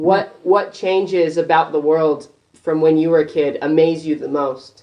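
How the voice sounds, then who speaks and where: A normal speaking voice at a fairly slow pace, with fairly even intonation. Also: man, fairly high pitch for a man. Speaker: interviewer. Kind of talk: casual interview questions.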